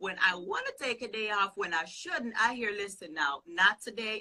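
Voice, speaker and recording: With a Jamaican accent and a fairly high pitch, a woman speaks at a moderate pace over noticeable background noise. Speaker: pastor and business consultant. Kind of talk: interview answer.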